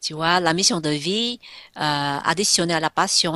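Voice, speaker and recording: Over a quiet background, a woman speaks at a very slow pace in a very deep, low pitch with ordinary pitch variation and a dry, close sound with no echo. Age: 60s. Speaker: entrepreneur and inspirational speaker. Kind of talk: radio interview. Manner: hesitant, many fillers.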